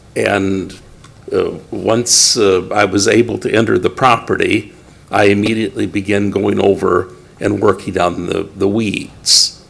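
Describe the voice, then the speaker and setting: Noticeable background noise surrounds a man talking at a fairly slow pace. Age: 60s. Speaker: property owner, public speaker. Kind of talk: public comment at council meeting. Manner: halting.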